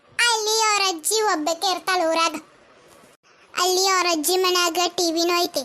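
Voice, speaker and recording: An extremely high-pitched, cartoonish character voice moves at a fairly slow pace. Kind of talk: cartoon comedy voicing. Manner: chatty, gossipy.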